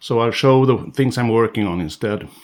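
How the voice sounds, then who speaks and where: The man speaks with ordinary pitch variation. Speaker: fish carver, sculpting tutor. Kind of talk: tutorial. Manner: halting, many fillers.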